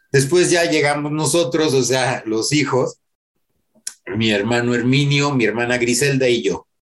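A man's plain, everyday voice, fairly high in pitch, with ordinary pitch variation at a moderate pace. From Mexico City. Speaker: rock musician. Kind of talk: interview.

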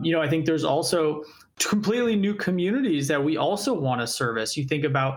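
Using a normal speaking voice, this man sits at a fairly high pitch, and his pitch moves in an ordinary way. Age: 30s. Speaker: startup founder and CEO. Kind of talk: interview.

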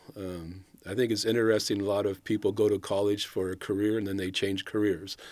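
A man with an American accent talks at a fairly quick pace in a fairly low, monotone voice with flat intonation. The recording is very clean with a silent background. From Northern California, Sacramento area. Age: 60s. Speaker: retired city official. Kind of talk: interview.

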